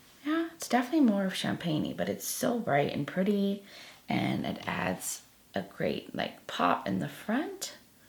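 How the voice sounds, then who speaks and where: Noticeable background noise runs under the recording. A woman talks over it at a moderate pace. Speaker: beauty youtuber. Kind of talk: makeup tutorial. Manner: casual, chatty.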